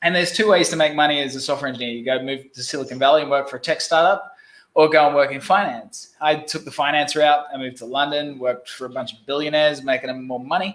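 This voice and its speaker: Speaking with an Australian accent, a fairly high-pitched man goes at a very fast pace with hardly any pauses. His pitch variation is ordinary, while his loudness swings a lot. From Australia, Brisbane. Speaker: business growth specialist. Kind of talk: casual interview.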